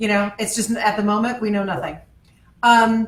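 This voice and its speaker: The woman's voice is somewhat breathy. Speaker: author's daughter, event host. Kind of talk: casual chat. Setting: live video stream. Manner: halting.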